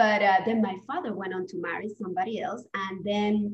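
A woman speaks at a moderate pace in a Spanish accent, her medium-pitched voice somewhat breathy. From Spain. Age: 40s. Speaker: divorce coach. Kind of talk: interview conversation.

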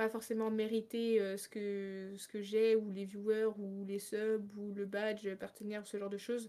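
At a moderate pace, a woman with a fairly high pitch uses an ordinary speaking voice. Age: 20s. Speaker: streamer. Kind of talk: casual chat.

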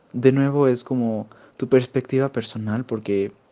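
This man talks at a moderate pace in a medium pitch. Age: young. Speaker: podcast co-host. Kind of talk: casual chat.

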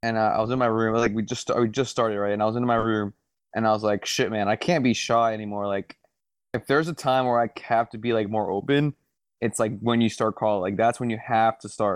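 Talking at a fairly quick pace, a man has a medium pitch and an unremarkable speaking voice. The sound is dry and close with no echo, over a quiet background. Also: fairly even intonation. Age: 20s. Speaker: podcast co-host. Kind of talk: casual chat.

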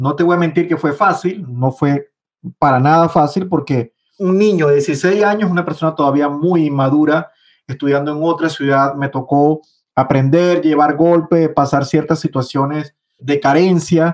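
In a normal speaking voice, the speaker goes at a fairly slow pace with fairly even intonation and very even loudness against a quiet background. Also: man, fairly high pitch for a man. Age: 40s. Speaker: trader. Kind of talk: interview.

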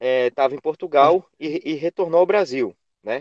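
A man talks at a fairly slow pace in a plain, everyday voice. His pitch is fairly high, and the sound is dry and close with no echo. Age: 20s. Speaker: physical education professional, Pilates instructor. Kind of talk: interview.

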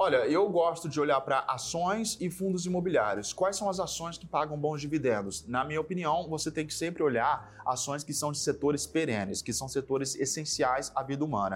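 A man with a fairly high pitch sounds somewhat breathy and uses lively intonation. He keeps a moderate pace with hardly any pauses. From São Paulo state, Brazil (São José do Rio Preto). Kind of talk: interview. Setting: studio.

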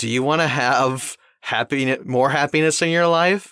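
Recorded very cleanly against a silent background, a man's bright, sharp voice has a dry, close sound with no echo. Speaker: podcast host and voice actor. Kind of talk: casual interview chat.

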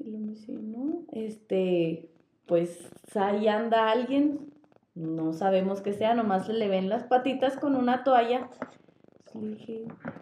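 A woman with a fairly high pitch talks at a very slow pace. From northern Mexico, Chihuahua. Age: 20s. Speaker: podcast co-host. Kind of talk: casual storytelling chat.

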